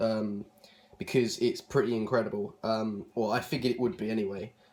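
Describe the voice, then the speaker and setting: With a southern English accent, a man speaks at a medium pitch. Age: 20s. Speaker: vlogger. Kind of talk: casual vlog talk. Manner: hesitant, many fillers.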